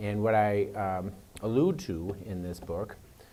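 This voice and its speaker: Audible room echo around a fairly low male voice, paced fairly slowly. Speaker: professor and author giving a talk. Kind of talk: lecture. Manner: hesitant with many fillers.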